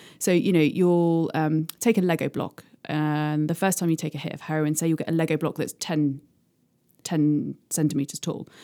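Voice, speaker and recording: In a very clean recording with a silent background, a woman speaks with a British accent. Her tone is dark and mellow, and her pitch is very deep and low. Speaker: hypnotherapist. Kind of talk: interview explanation. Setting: studio.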